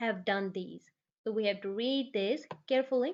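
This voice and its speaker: A woman with a Punjabi accent and ordinary pitch variation. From Punjab, India. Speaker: immigration tutorial creator. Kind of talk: tutorial. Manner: halting.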